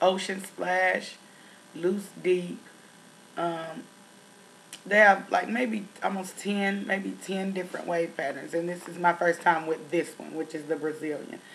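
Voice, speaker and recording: A woman with a Tennessee accent speaks fairly slowly, her fairly low voice keeping a fairly even intonation but with big swings in loudness. Noticeable background noise runs underneath. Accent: country (Tennessee). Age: 30s. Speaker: beauty vlogger. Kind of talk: product review vlog. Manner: casual, many fillers.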